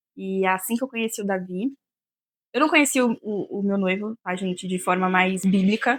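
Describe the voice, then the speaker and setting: A woman at medium pitch has a plain, everyday voice, with a dry, close sound and no echo. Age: 20s. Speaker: podcast guest. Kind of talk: casual chat.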